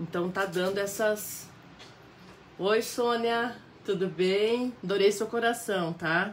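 A woman talks at a very slow pace, with long, frequent pauses. Her intonation stays fairly even over light background noise. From Paraná, southern Brazil. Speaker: fabric painting teacher. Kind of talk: live painting tutorial. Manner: warm, chatty, frequent tá?. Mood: warm, chatty. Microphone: phone near.

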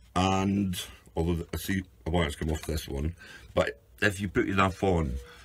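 A man with a very deep, low pitch speaks somewhat breathily, using ordinary pitch variation. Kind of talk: tutorial. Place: workshop. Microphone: camera far.

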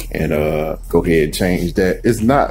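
A man speaks at a fairly slow pace while faint music plays in the background. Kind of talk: casual vlog chat. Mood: relaxed. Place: street. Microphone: phone near.

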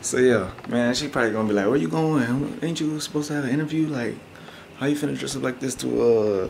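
A man talks very quickly, his pitch varying in an ordinary way, while light noise sits in the background. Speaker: prank vlogger. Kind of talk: casual vlog chat.

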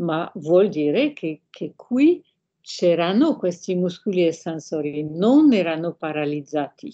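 A woman with a French accent, fairly low in pitch, with lively intonation, a very slow pace and a dark, mellow tone against a quiet background. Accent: French-accented Italian. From France. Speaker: hand surgeon; guest. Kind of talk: lecture-style interview with slides. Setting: video call. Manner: halting, hesitant. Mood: calm explanatory. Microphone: video call.

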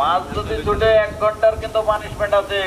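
Over clear background noise, a man speaks fast in a high voice.

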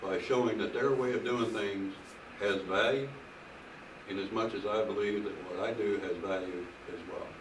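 A man talks at a fairly low pitch with long, frequent pauses. Noticeable background noise is present. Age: old. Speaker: preacher. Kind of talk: sermon. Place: home room. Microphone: camera far.

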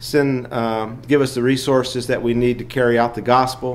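Here a man speaks at a moderate pace. His intonation is monotone and flat. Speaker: lay teacher. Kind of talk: Sunday school lesson. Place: church. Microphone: podium.

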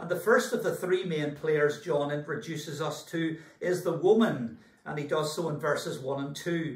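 In a Scottish accent, a man with a fairly high pitch and ordinary pitch variation talks at a fairly slow pace, with audible room echo. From Scotland. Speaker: church minister. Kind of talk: sermon preaching. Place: home room. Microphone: camera far.

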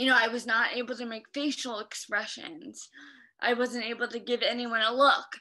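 A woman speaks at a moderate pace with a high pitch and a bright, sharp tone. Her intonation stays monotone and flat. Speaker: stroke survivor. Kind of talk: interview. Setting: video call. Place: home room. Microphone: video call.

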